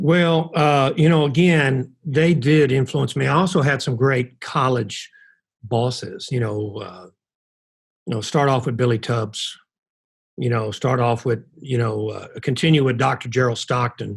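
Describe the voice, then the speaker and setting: With an American accent, a man speaks at a fairly slow pace in a somewhat breathy, medium-pitched voice with ordinary pitch variation. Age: 60s. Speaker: college basketball coach. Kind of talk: interview.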